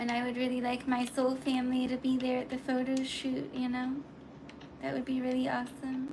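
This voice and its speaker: A woman with a high voice speaks at a fairly quick pace in a flat monotone, with audible room echo and noticeable background noise. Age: 30s. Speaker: livestreamer and aspiring model. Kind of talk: casual livestream chat.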